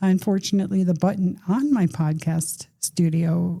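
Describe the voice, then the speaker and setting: A woman speaks at a fairly low pitch with a dark, mellow tone. Her voice is somewhat breathy and her intonation fairly even. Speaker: podcast host. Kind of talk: casual monologue. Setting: podcast studio.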